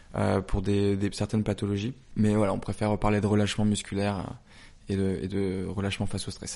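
Against a quiet background, a man with a fairly low pitch and a dark, mellow tone speaks at a fairly quick pace in a monotone, flat intonation. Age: 20s. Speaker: brand founder. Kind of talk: interview. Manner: hesitant, many fillers.

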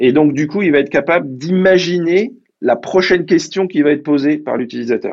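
A man with a normal speaking voice, fairly high-pitched, with ordinary pitch variation at a fairly quick pace. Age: 50s. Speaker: tech executive. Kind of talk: interview.

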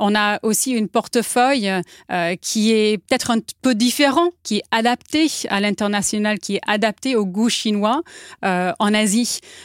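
On a very clean, dry, close recording with no echo and a silent background, a woman with a fairly high pitch talks at a fairly slow pace, with ordinary pitch variation and very even loudness. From United States. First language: English (speaking French). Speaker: company executive. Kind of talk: interview.

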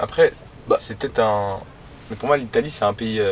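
A man's fairly even intonation at a moderate pace, with noticeable background noise. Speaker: passerby interviewee. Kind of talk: casual chat.

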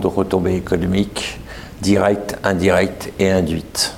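A man speaks with a fairly low pitch. Noticeable background noise and audible room echo fill the recording. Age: 60s. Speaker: event founder. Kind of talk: interview. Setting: stage with audience.

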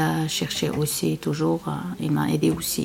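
Over noticeable background noise, a woman with a non-native accent speaks very slowly. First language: not French (speaking French). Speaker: interviewee, working mother. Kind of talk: interview testimony. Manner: halting.

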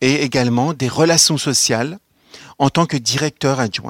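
The man's voice shows ordinary pitch variation in a dry, close recording with no echo. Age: 30s. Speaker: social security executive. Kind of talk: career testimony.

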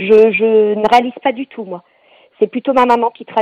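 Here a woman uses a normal speaking voice. Her pitch is fairly high and her pace moderate. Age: 40s. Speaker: cancer patient. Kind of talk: testimony.

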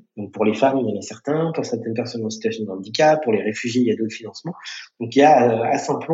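Speaking with an ordinary speaking voice, a man uses a medium pitch with ordinary pitch variation. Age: 40s. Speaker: social entrepreneur, founder of a digital training school network. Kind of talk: podcast interview.

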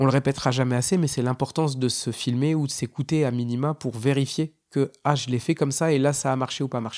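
A plain, everyday voice from a man at medium pitch, fairly quick with hardly any pauses and fairly even intonation, in a very clean recording with a silent background and a dry, close sound with no echo. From northern France. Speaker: stand-up comedian. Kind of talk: casual monologue.

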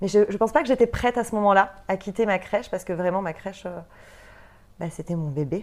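At a fairly quick pace, a woman with an unremarkable speaking voice keeps a medium pitch with ordinary pitch variation and big swings in loudness. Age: 30s. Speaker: entrepreneur, former nursery director. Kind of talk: interview. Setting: studio.

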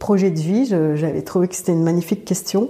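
A woman talks at a medium pitch. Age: 40s. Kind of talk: interview testimony. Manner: halting, with frequent hesitations.

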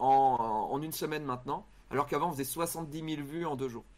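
Here a man speaks with a fairly high pitch. The recording is very clean, with a silent background. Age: 40s. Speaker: YouTuber and comedian. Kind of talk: casual chat. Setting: live stream.

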